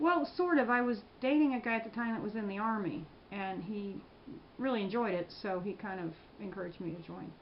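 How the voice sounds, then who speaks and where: Noticeable background noise sits behind a woman with an American accent, whose fairly high voice moves at a fairly quick pace with lively intonation. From Prince George's County, Maryland. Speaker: military veteran. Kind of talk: interview answer.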